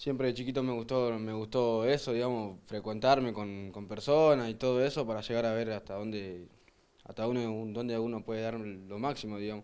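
A man with an unremarkable speaking voice and medium pitch speaks at a moderate pace with fairly even intonation. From Argentina, Santo Tomé. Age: 20s. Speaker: kickboxer. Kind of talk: interview.

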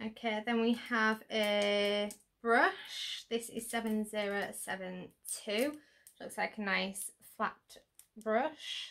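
Long, frequent pauses break up speech at a very slow pace. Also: woman. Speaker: beauty YouTuber. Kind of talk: product unboxing. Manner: animated.

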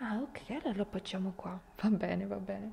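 Light background noise runs under the recording. Through it, a woman's voice is heard talking. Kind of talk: ASMR role-play chat to the viewer.

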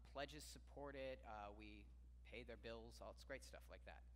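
A man speaks with a very deep, low pitch and vocal fry. His pace is moderate, with light background noise. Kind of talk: church announcements. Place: church.

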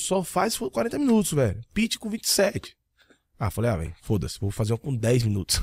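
Somewhat breathy and recorded dry with no echo, a man speaks at a fairly quick pace with very wide pitch swings. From Bahia, Brazil (Jequié, interior); Bahia, Brazil. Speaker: digital marketing entrepreneur; podcast guest. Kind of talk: casual interview chat. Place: studio. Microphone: studio mic.

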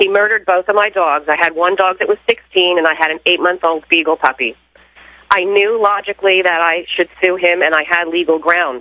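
A woman with an American accent talks at a fairly quick pace in a fairly low pitch. Her intonation is fairly even, and she has a plain, everyday voice. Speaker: caller. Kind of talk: personal testimony. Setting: phone call.

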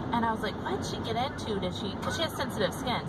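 A woman speaks over noticeable background noise. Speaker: parent vlogger. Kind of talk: casual vlog chat. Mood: chatty, mildly concerned. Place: car. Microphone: phone near.

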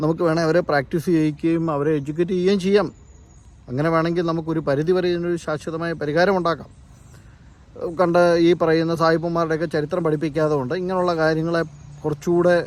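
This man's high voice stays monotone, with flat intonation throughout. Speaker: vlogger. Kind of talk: opinion vlog monologue.

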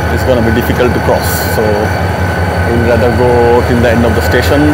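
Loud background noise surrounds a man as he speaks. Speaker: travel vlogger. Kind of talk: casual vlog chat. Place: station. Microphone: lapel.

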